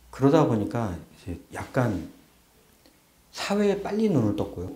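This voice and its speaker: Lively intonation marks this man's fairly slow delivery. Room echo can be heard around his voice. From South Korea, Chungcheongbuk-do (Boeun). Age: middle-aged. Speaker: interviewee recalling childhood. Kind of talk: documentary interview.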